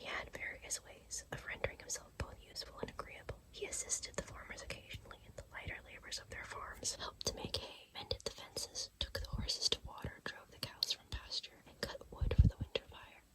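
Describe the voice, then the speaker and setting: A whispering woman at a fairly quick pace, hardly any pauses, big swings in loudness, and noticeable background noise. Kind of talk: sleep story reading. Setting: recorded in bed, close-up. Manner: whispered.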